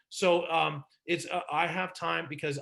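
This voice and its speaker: Against a quiet background, a man with a fairly high, bright, sharp voice and vocal fry speaks in an animated tone. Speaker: business consultant and presenter. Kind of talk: webinar presentation. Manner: fast.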